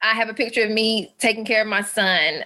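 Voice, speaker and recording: A woman talks with a Southern US accent. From US South, Alabama. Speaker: physical therapist and wellness coach. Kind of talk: webinar presentation.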